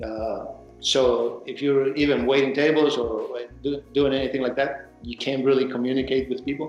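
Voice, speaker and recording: Someone speaks at a moderate pace with a Mexican accent and fairly even intonation. Music plays in the background. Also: man, fairly high pitch for a man. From Mexico (Baja California, later Acapulco). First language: Spanish. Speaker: actor and film producer. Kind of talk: interview, personal story. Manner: halting, repeats words.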